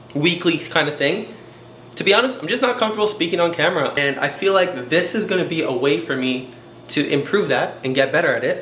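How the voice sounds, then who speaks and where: Amid noticeable background noise and audible room echo, a man with a high-pitched voice talks at a fairly quick pace with lively intonation. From Canada, Toronto. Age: 30s. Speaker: vlogger and dancer. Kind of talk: casual vlog monologue. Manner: fast.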